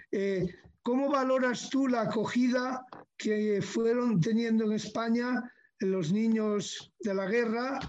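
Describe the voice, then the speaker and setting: A man speaks at a very slow pace with an extremely high pitch. His loudness stays very even. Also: ordinary pitch variation. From Asturias, Spain (Gijón). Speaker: panelist. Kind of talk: interview.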